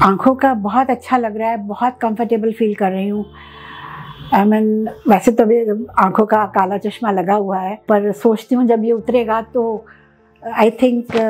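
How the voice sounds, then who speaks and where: Speaking at a fairly slow pace, a woman keeps her fairly high voice in a monotone, flat intonation. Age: 60s. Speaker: cataract surgery patient. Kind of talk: patient testimonial. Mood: calm, pleased. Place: office. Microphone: lapel.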